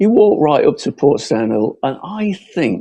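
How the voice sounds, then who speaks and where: A man talks at a very slow pace. He has a northern English accent. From northern England, Bolton, Lancashire. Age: 70s. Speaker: local election candidate. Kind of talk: closing campaign speech. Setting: podcast hustings. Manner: halting.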